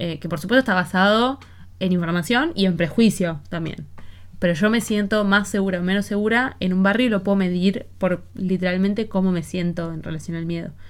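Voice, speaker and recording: A woman with an Argentine accent talks at a fairly quick pace. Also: medium pitch for a woman, ordinary pitch variation. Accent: Rioplatense Argentine Spanish. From Argentina. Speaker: podcast host. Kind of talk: casual conversational interview.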